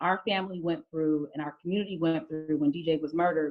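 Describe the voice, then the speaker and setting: A woman's fairly low voice, fairly quick and fairly even in intonation, with an American accent. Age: 30s. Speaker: state legislator. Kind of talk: testimony. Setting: video call. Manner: halting.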